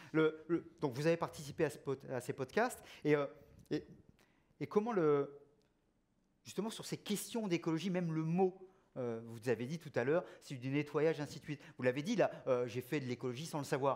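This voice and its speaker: Man with a fairly high pitch, lively intonation and long, frequent pauses. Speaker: debate moderator. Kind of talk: panel discussion. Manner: fast.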